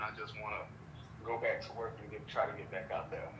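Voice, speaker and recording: Amid audible room echo, a man at a medium pitch speaks at a very fast pace. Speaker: podcast host. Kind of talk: casual chat.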